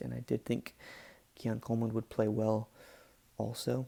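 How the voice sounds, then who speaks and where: Whispering at a moderate pace, a man is heard in a dry, close sound with no echo. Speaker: sports podcaster. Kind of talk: casual talk to camera. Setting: home recording, poor mic. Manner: whispered.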